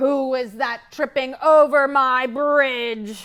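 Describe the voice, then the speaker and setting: Bellowing in a put-on character voice, a woman speaks very slowly at a high pitch. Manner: roaring, angry.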